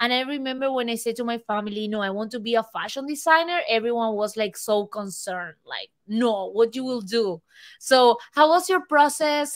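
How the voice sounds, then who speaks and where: A woman with a Spanish accent at a moderate pace, high in pitch with ordinary pitch variation, on a very clean recording with a silent background. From Argentina. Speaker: podcast host. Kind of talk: scripted intro; podcast interview.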